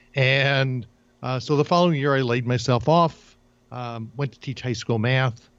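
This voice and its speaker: A man with an American accent and a normal speaking voice, medium in pitch, with ordinary pitch variation at a moderate pace. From New Jersey. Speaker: career coach. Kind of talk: interview.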